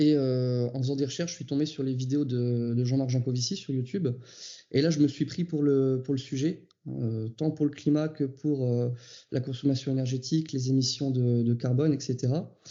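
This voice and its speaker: A man speaks at a moderate pace and medium pitch, his intonation fairly even. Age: 30s. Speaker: farmer. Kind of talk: interview testimony. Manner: hesitant, many fillers.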